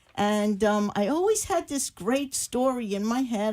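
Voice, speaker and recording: At a fairly slow pace, a woman with an American accent speaks in a fairly high pitch with ordinary pitch variation. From Cuba. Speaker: romance novelist. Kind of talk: talk show interview.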